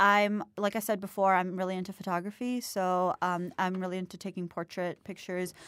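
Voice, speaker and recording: A woman with an American accent and a medium pitch talks at a fairly quick pace in an unremarkable speaking voice, the recording very clean with a silent background. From Jacksonville, Florida. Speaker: university student. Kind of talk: casual interview chat. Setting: studio. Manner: giggly, frequent laughter.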